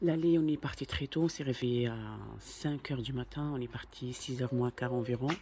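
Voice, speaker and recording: A soft-spoken man talks at a moderate pace and medium pitch. His voice is somewhat breathy, with fairly even intonation. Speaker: family vlogger. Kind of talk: vlog narration.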